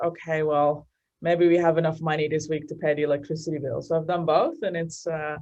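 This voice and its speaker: This is a woman speaking. She has a Dutch accent. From Netherlands, Amsterdam. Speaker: marketing executive. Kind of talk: interview. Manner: hesitant, many fillers.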